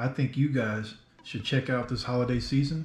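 A somewhat breathy man's voice with audible room echo. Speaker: RC hobby vlogger. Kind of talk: casual vlog chat. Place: home room.

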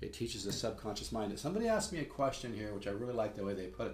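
Speaking at a very fast pace, a man uses a fairly low pitch and sounds somewhat breathy. Light background noise and audible room echo surround his voice. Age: 60s. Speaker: guitar teacher. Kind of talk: sales pitch. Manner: casual, halting. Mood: earnest, mildly salesy. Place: home room. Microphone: webcam.

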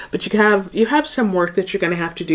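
Her pitch moves up and down in an ordinary way as the woman talks. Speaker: tarot reader. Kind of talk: tarot reading to viewers. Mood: warm, light laughter. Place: home room.

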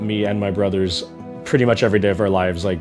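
Music plays in the background as a man talks at a fairly low pitch. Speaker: country musician. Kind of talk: interview answer.

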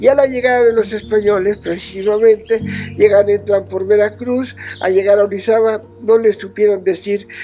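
A man's high-pitched voice at a moderate pace, with faint music in the background. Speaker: mountain guide. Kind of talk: interview answer. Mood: warm, smiling storytelling.

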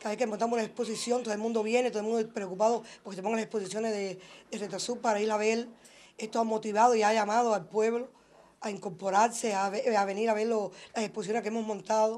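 Her intonation stays flat and monotone. The woman talks at a very fast speed. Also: fairly high pitch for a woman. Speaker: craft group member. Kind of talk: interview.

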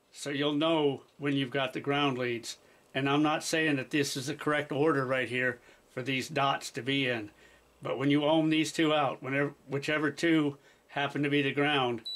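At a moderate pace, a man speaks with monotone, flat intonation. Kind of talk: tutorial. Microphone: camera far.

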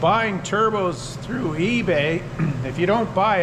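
A man's voice, with ordinary pitch variation, is heard against noticeable background noise. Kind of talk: tutorial. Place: workshop. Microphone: phone near.

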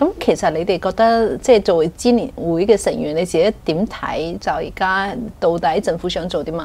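Using an ordinary speaking voice, a woman talks at medium pitch and moderate pace with ordinary pitch variation and hardly any pauses. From Hong Kong. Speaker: news show host, journalist. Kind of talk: interview. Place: studio. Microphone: lapel.

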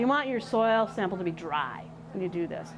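A woman with an American accent, at a fairly quick pace, over noticeable background noise. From western Michigan. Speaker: extension educator in soil health; extension educator. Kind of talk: tutorial. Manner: halting, with repeated words and fillers. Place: workshop. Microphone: lapel.

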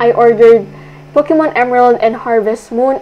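With a Filipino accent, a woman talks at a moderate pace and fairly high pitch, ordinary pitch variation, over noticeable background noise. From Philippines. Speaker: optometry student. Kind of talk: vlog voice-over narration.

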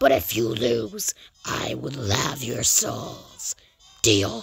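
A put-on character voice, raspy and low-pitched, at a very slow pace. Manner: booming, menacing.

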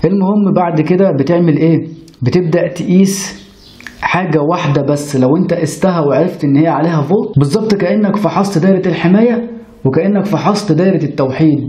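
In an Egyptian accent, a man speaks at a moderate pace with a high pitch, ordinary pitch variation and very even loudness, with audible room echo. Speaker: electronics repair instructor. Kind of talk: tutorial. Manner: conversational, addresses viewer directly. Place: workshop.

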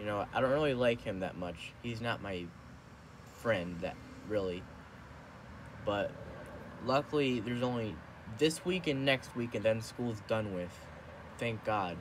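With noticeable background noise behind him, a man speaks at a fairly slow pace, using long, frequent pauses and ordinary pitch variation. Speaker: vlogger. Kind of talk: casual vlog chat. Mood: relaxed, some complaining. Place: home room. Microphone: phone near.

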